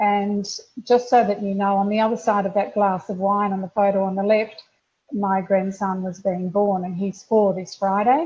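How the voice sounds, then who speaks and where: A woman's voice has a dark, mellow tone and is somewhat breathy. Her intonation stays fairly even. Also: medium pitch for a woman, moderate pace. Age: 60s. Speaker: customer sharing weight-loss testimony. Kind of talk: testimony. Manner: halting.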